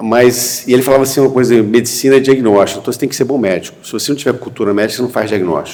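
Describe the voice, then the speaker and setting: There is audible room echo around a man's voice. He speaks at a medium pitch with a dark, mellow tone. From Brazil, Rio de Janeiro state (Pádua, then Rio). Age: 60s. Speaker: physician, entrepreneur and investor. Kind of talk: panel talk at a medical congress. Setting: university auditorium with audience. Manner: conversational, with hesitations.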